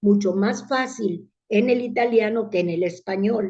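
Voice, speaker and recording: A woman speaks very slowly in a fairly high pitch, her tone dark and mellow and her intonation fairly even. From Italy, then Mexico from childhood. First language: Italian (speaking Spanish). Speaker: public speaking club leader. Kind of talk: interview.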